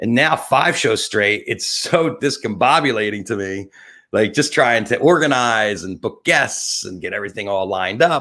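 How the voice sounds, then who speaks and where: A man with a New Jersey accent, medium pitch, a bright, sharp and animated tone, lively intonation and a moderate pace, on a very clean recording with a silent background. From New Jersey (Atlantic City). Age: 50s. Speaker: talk show host and photographer. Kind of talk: live webcast monologue.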